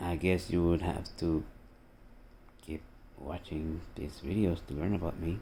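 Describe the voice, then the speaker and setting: Very deep and low in pitch, a man with a Costa Rican accent talks at a fairly slow pace in a dark, mellow tone, leaving long, frequent pauses. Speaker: army veteran and political video blogger. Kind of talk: political rant monologue. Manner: animated.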